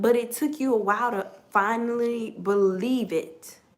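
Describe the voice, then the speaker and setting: Audible room echo fills the space. Within it, a woman talks at a fairly slow pace, her pitch varying in an ordinary way. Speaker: tarot reader. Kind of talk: collective tarot reading. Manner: quiet, holding back; animated.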